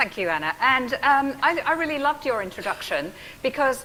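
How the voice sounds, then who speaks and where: A woman with an English accent at a moderate pace, over noticeable background noise. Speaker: professor and physiotherapist. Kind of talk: public talk.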